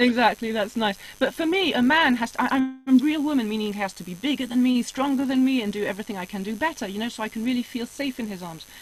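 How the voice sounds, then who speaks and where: A woman talks at a very fast pace in a high voice. Her pitch varies in an ordinary way. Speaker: spiritual guest telling life story. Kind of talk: casual interview chat.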